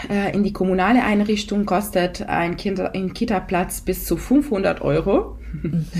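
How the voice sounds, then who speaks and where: Over noticeable background noise, a woman with a medium pitch talks at a fairly slow pace. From Italy. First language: Italian (speaking German). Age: 30s. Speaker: mother of two. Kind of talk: podcast interview. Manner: hesitant, many fillers.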